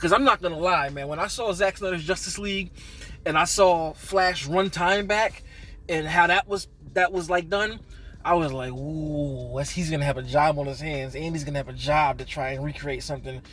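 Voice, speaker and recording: With music in the background, a man with a fairly high pitch speaks at a moderate pace in an animated tone, his pitch varying in an ordinary way. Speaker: movie reviewer. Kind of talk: casual video review. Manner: stuttering.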